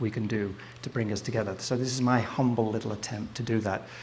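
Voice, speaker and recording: A man in an English accent at a moderate pace, fairly even intonation, with audible room echo. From England, Southport (Merseyside). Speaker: photographer and filmmaker. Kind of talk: live presentation to an audience. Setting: stage with audience. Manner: casual, hesitant with fillers.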